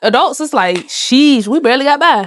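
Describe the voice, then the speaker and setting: A woman speaks with an American accent. Her pitch is high and her intonation lively. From Florida. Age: 20s. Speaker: podcast host. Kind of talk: casual chat. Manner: fast.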